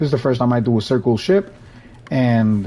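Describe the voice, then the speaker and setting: This man talks at a fairly quick clip with a Spanish accent. His pitch sits in the middle range, with ordinary pitch variation. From Puerto Rico. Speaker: gaming streamer. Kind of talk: live gameplay commentary. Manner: casual, with self-corrections.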